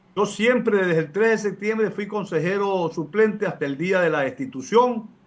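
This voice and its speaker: A man talks at a moderate pace. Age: 60s. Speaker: lawyer and law professor, public council member. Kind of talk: radio interview. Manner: formal.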